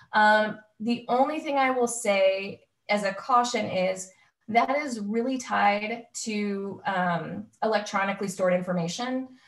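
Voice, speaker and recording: The woman's delivery is fairly slow and somewhat breathy. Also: fairly high pitch for a woman, ordinary pitch variation. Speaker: employment lawyer. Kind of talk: webinar presentation.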